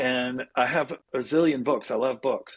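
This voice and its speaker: Medium in pitch and moderate in pace, the man talks in a plain, everyday voice. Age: 60s. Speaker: spiritual guide and former minister. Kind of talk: interview.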